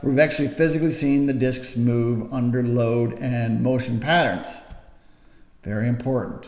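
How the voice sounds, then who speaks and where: Over noticeable background noise and audible room echo, a man with a medium pitch speaks at a moderate pace. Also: fairly even intonation. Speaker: back pain clinician. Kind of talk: educational talk to camera.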